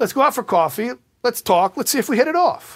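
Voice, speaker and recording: A man is speaking. His pace is very fast. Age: 40s. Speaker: rabbi. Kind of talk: lecture. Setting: stage with audience.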